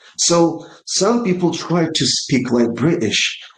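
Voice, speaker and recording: There is audible room echo. A man talks at a very slow pace in a Russian accent. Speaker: English exam teacher. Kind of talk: online lesson. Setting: live online lesson. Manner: animated.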